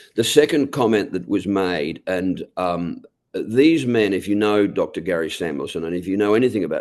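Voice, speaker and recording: In an Australian accent, a man talks at a moderate pace with a fairly low pitch and ordinary variation. The background is quiet. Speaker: network marketing leader. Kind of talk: motivational talk.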